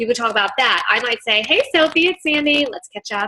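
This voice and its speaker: Enthusiastic in tone, a woman talks at a fairly quick pace in a high pitch. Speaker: direct sales team leader. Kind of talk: training session. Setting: video call.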